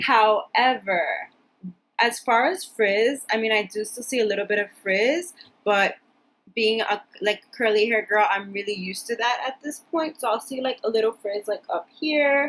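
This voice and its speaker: Her pitch fairly high, a woman talks with ordinary pitch variation. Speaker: beauty vlogger. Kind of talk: product review vlog. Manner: fast; casual, chatty.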